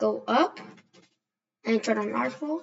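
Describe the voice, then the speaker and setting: A woman speaks at a very slow pace. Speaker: drafting tutorial creator. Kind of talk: tutorial. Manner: casual, self-correcting.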